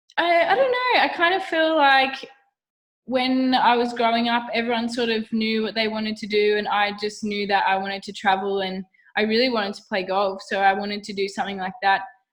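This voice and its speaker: A woman's fairly high voice with an Australian accent, fairly quick, with ordinary pitch variation. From Australia, Wollongong New South Wales. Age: 20s. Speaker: professional golfer. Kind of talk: casual interview chat. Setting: video call. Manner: chatty, animated.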